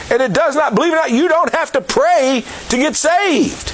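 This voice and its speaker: Over noticeable background noise, a man speaks at a moderate pace with an extremely high pitch. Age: 60s. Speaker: evangelist and jail ministry Bible teacher. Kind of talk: sermon. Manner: halting with frequent fillers.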